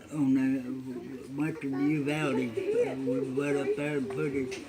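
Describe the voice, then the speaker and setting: A man with an American accent speaks in a fairly high voice. His pace is very slow, with noticeable background noise behind him. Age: 80s+. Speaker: World War II navy veteran. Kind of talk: interview answer. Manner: halting, hesitant.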